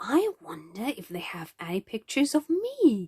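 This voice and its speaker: A woman does a put-on character voice, high-pitched for a woman. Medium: read story. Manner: gentle, friendly, polite.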